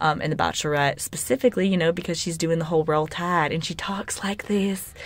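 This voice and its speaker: A woman with an American accent at a very fast pace and fairly low pitch, over noticeable background noise. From US South, Alabama (Birmingham). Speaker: podcast co-host, college student. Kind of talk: casual chat. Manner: animated.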